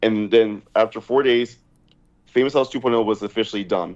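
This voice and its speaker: With an American accent, the voice moves along at a fairly quick pace. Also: man. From New Jersey, US. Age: 30s. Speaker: reality show contestant. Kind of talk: interview. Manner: hesitant, filler-heavy.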